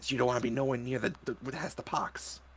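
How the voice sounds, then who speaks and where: A man puts on a character voice at a medium pitch. His delivery is very fast and monotone, with flat intonation. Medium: actual play.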